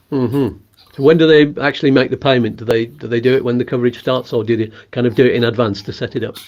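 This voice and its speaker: At a very fast pace, a man with medium pitch speaks with fairly even intonation. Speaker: YouTube host. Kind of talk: video interview. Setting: video call.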